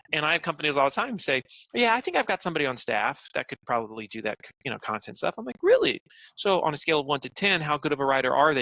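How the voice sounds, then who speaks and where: Bright and sharp in tone, a man talks very fast at a fairly high pitch with lively intonation, the sound dry and close with no echo. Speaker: marketing agency owner and speaker. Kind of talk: interview. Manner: animated.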